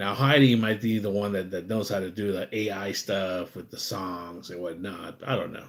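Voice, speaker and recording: Talking at a moderate pace with hardly any pauses, a man with an American accent has a normal speaking voice and fairly even intonation. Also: fairly low pitch for a man. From USA. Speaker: live streamer. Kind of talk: casual live stream chat. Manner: rambling, repetitive fillers.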